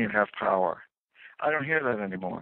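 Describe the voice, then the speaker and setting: A normal speaking voice comes through in an American accent. The intonation is lively and the pace fairly quick. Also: man. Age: 60s. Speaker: author and former economic advisor. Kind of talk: radio interview.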